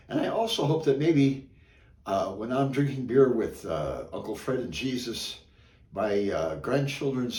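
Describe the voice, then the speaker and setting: At a fairly slow pace, a man speaks with lively intonation and vocal fry. Audible room echo is heard. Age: 70s. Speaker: amateur joke teller. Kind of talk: casual joke telling; casual introduction. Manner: halting, with many fillers.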